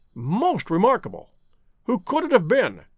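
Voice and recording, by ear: Using a put-on character voice, a man speaks at a moderate pace with high pitch, very wide pitch swings and a slightly husky edge.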